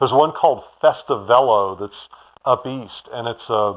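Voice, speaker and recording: With a Texan accent, a man speaks at medium pitch and a moderate pace, his pitch varying in an ordinary way on a very clean recording with a silent background. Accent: Texan American. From Houston, Texas. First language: German. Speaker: bicycle shop owner. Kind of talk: interview.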